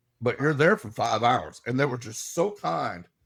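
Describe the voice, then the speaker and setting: This man has a medium pitch and lively intonation. His pace is moderate. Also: very clean recording, silent background. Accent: Southern US. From Alabama, US South. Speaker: paranormal investigator. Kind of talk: casual interview chat. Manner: animated.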